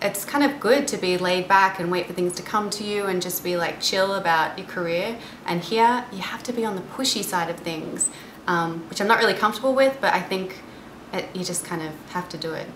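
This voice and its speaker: A woman speaks at a fairly quick pace with a medium pitch and ordinary pitch variation. Noticeable background noise and audible room echo sit behind her. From Australia, Geelong/Melbourne area. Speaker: actress. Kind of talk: interview. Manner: hesitant, many fillers.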